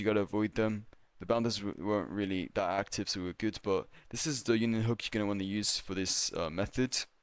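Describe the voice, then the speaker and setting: A man mumbles very fast at a fairly low pitch, with fairly even intonation. The recording is very clean and the background silent. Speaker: gaming youtuber. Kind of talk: game tutorial voiceover. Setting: voiceover recorded while playing. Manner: mumbling, pausing; casual, hesitant.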